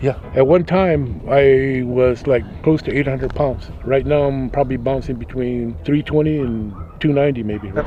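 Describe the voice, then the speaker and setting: Speaking with an American accent and hardly any pauses, this voice comes with noticeable background noise. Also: man, medium pitch for a man, ordinary pitch variation, moderate pace. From Arizona, Gila River reservation (Pima). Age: 70s. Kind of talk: interview.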